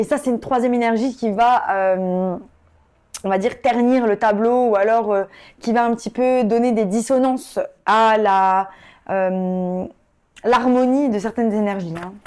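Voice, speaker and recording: On a very clean recording with a silent background, a woman with a fairly high pitch and ordinary pitch variation speaks at a fairly slow pace, leaving long, frequent pauses. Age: 30s. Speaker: tarot reader. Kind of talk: tarot reading. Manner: casual, hesitant with many fillers.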